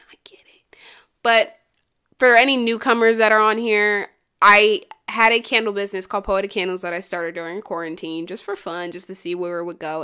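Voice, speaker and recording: At a fairly quick pace, a woman speaks in an animated, bright, sharp tone with a medium pitch over a quiet background. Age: 20s. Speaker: podcaster and writer. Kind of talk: casual monologue.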